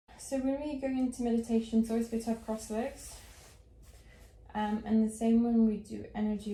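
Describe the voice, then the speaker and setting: Soft-spoken and moving at a fairly quick pace, the voice has monotone, flat intonation amid noticeable background noise. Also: woman. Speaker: meditation guide. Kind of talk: guided meditation instruction.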